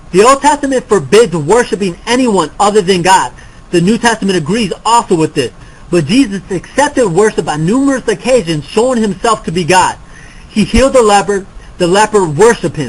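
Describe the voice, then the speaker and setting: A man talks with lively intonation and a high-pitched voice. Behind him, background noise is noticeable. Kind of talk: debate. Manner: halting.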